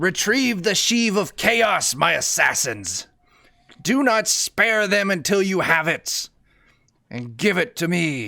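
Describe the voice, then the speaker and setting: In a put-on character voice, a man talks at a high pitch. He cackles. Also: fairly slow pace. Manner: cackling.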